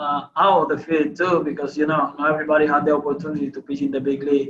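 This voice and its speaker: A man speaks at a fairly high pitch with a Spanish accent. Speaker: baseball pitcher. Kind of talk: interview. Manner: halting.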